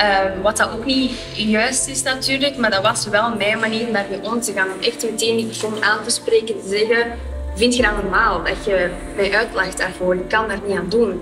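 Clear music plays behind a woman whose fairly high voice moves at a moderate pace with fairly even intonation. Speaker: marketeer. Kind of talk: interview answer. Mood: calm, reflective, gesturing. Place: studio. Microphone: lapel.

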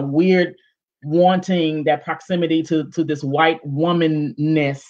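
The voice belongs to a woman with a low pitch. Her tone is slightly mellow.

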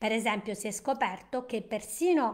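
A woman with a fairly high pitch speaks at a fairly slow pace. Her pitch varies in an ordinary way against a quiet background. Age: 60s. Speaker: nutrition and wellness educator; wellness educator. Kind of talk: live-stream presentation. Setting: live stream. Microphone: webcam.

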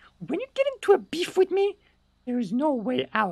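A squeaky, high-pitched put-on character voice at a moderate pace. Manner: menacing, threatening.

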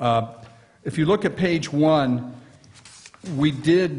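Speaking at a fairly slow pace, a man shows ordinary variation in pitch. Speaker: presenter. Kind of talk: formal report presentation. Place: meeting room.

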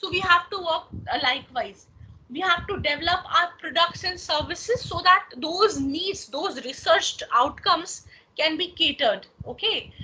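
Raised and projected, a woman's extremely high, bright, sharp voice moves at a moderate pace with lively intonation. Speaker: lecturer. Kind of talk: lecture. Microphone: video call.

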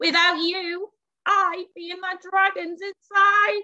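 A woman's put-on character voice, extremely high, bright and sharp, slow, with little pitch movement and a dry, close sound with no echo.

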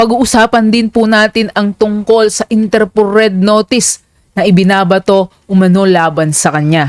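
A woman with a plain, everyday voice speaks at medium pitch and a moderate pace, showing ordinary pitch variation and very even loudness. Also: dry, close sound with no echo. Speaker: political commentary channel host. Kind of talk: video commentary narration. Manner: formal.

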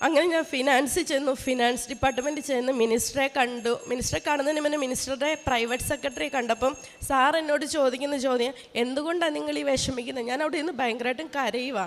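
A woman with a high voice and ordinary pitch variation speaks over noticeable background noise. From Kerala, Changanassery. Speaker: state government employee and athlete giving testimony. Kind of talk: religious testimony. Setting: shrine with audience of devotees.

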